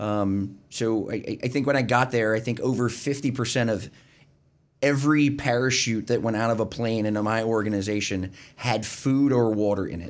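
At a moderate pace, a man with a plain, everyday voice talks at medium pitch with fairly even intonation. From Pennsylvania, Berks County. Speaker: retired army veteran. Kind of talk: interview.

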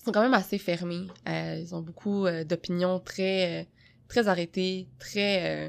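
Recorded very cleanly against a silent background, a woman speaks at fairly low pitch. Her intonation is monotone and flat. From Quebec. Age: 20s. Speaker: podcast co-host. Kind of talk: casual discussion.

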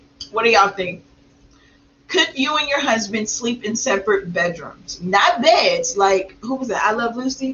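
A woman with a fairly high pitch speaks at a moderate pace with lively intonation over noticeable background noise. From small country town. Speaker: podcast co-host, mother of eight and entrepreneur. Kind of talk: casual chat. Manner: animated.

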